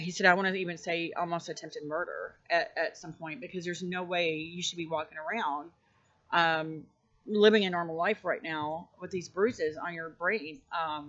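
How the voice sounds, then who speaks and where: Speaking with an American accent, a woman keeps a moderate pace. Her pitch is fairly low and her intonation fairly even. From US South (Arkansas). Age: 40s. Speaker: YouTuber sharing personal dreams. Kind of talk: personal storytelling monologue. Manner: halting, many fillers.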